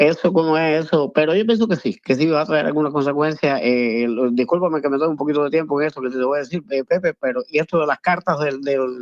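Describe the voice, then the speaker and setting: Speaking at a very fast pace with hardly any pauses, a man with fairly high pitch and ordinary pitch variation sounds dry and close with no echo. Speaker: caller. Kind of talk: phone-in call. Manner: halting, many repetitions.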